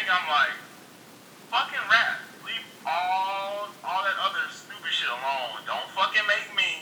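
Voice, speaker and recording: Noticeable background noise and audible room echo fill the recording. A man talks fairly slowly within it. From East Texas, Hunt County. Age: 20s. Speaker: podcast listener and college student. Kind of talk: casual chat.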